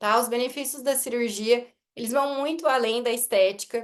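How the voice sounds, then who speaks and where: The intonation stays fairly even while the words come at a moderate pace. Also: woman. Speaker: orthodontist. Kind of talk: lecture.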